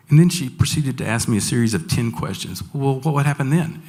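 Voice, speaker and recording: Talking at a very fast pace, a man with a fairly high pitch uses lively intonation and some vocal fry. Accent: Southern US. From Franklin, Tennessee. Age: 60s. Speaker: school staff member. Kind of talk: personal testimony talk to an audience.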